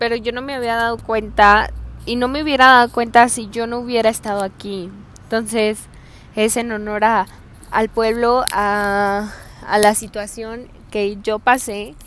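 A woman's fairly high voice, fairly slow in pace, with fairly even intonation. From Hidalgo del Parral, Chihuahua, northern Mexico. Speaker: podcast host. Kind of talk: casual monologue. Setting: outdoors on the street. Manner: halting.

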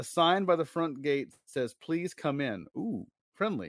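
Animated and playful, a man with a fairly high pitch speaks at a fairly slow pace on a very clean recording with a silent background. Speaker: podcast host. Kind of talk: casual chat; dramatic narration. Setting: live stream. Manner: animated, playful; dramatic, expressive storyteller reading aloud.

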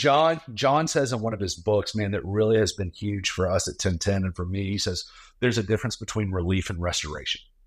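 On a very clean recording with a silent background, a man with a fairly low pitch speaks at a fairly quick pace with lively intonation. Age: 40s. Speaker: pastor and ministry leader. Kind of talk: casual chat. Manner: animated.

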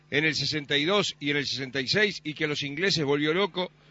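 Intonation is lively from this man. He talks at a fairly slow pace. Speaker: sports radio presenter. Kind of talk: interview.

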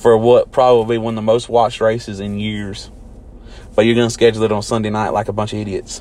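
Talking very fast in a flat monotone, a man with a Southern US accent keeps his pitch in the medium range. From US South, near Mississippi. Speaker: NASCAR podcast host. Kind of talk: solo casual commentary.

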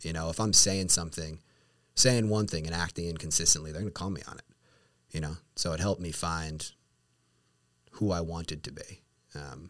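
With a very deep, low pitch, a man speaks at a moderate pace, using ordinary pitch variation, long, frequent pauses and big swings in loudness. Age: 30s. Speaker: lawyer. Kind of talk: casual chat.

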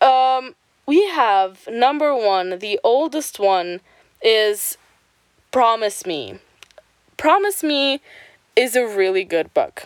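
A woman's fairly high voice, very slow, with very wide pitch swings and long, frequent pauses. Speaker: podcast host. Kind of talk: casual chat. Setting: home at night. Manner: casual, profane, filler-heavy.

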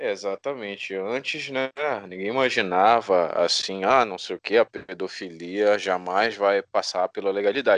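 A man talks at a moderate pace in a normal speaking voice, fairly low in pitch with ordinary pitch variation. The sound is dry and close, with no echo. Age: 20s. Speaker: podcast host. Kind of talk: casual interview chat.

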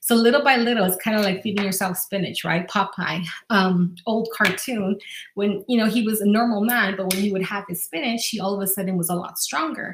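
Through noticeable background noise, a woman speaks at a medium pitch and a fairly quick pace with fairly even intonation. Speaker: life coach podcaster. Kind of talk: guided visualization; self-help talk. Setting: solo podcast. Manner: warm, encouraging.

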